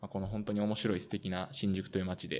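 This man speaks at a fairly low pitch. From Osaka, Japan. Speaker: amateur footballer and podcast host. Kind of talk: casual podcast chat.

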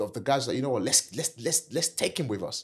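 A man with a Nigerian accent speaks in an animated, somewhat breathy tone at medium pitch with lively intonation, in a very clean recording with a silent background. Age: 40s. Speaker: entrepreneur and property investor. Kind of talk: interview.

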